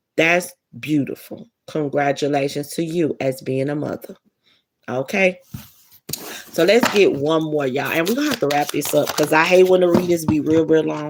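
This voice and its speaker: A woman's very deep, low voice with ordinary pitch variation at a moderate pace. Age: 40s. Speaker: spiritual card reader. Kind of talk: casual tarot/oracle card reading.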